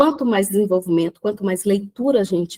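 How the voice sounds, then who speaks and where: In an ordinary speaking voice, a woman at medium pitch uses lively intonation, recorded with a dry, close sound and no echo. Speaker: personal development speaker. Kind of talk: live talk on video call. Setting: video call from the beach.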